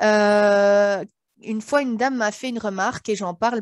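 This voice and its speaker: A woman with an ordinary speaking voice talks at a moderate pace and medium pitch with fairly even intonation, the sound dry with no echo and the background quiet. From Belgium. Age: 40s. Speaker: author and sophrologist; interviewee. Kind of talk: interview. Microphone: headset.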